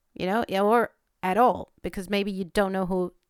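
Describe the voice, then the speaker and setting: A woman with a Spanish accent at a fairly quick pace, on a very clean recording with a silent background. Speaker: veterinarian podcaster. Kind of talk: podcast monologue. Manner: hesitant, with fillers.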